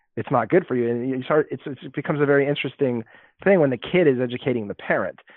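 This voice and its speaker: A man with a Californian accent talks at a very fast pace. His pitch sits fairly high. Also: ordinary pitch variation. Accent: Californian American. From Los Angeles. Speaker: health tech company president. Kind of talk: interview.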